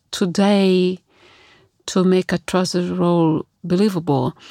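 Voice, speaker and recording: With an Italian accent, a woman speaks at a very slow pace and medium pitch in a dry, close sound with no echo. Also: very clean recording, silent background. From Italy. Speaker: opera singer. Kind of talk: interview.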